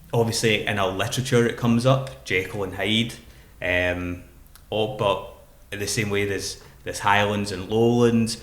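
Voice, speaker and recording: Fairly even intonation from a man with a fairly low voice. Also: moderate pace. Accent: Glaswegian. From Glasgow, Scotland. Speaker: poet and spoken word artist. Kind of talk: podcast interview answer.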